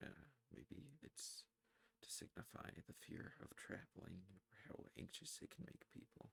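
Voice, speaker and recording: A soft-spoken man talks at a very slow pace with vocal fry. His medium pitch moves in very wide swings. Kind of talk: ASMR rambling talk about music. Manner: soft-spoken, rambling.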